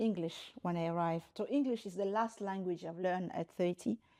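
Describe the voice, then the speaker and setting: A woman with a Congolese accent speaks at a moderate pace in a dark, mellow tone. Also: hardly any pauses. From DR Congo. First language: French, Lingala, Swahili, Kikongo. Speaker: human rights lawyer and university rector. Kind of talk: interview. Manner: halting with frequent repetitions.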